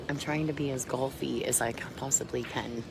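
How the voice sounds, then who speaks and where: A soft-spoken woman whispering at a moderate pace, with audible room echo and noticeable background noise. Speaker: pool commentator. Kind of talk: live commentary. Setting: venue next to the pool table.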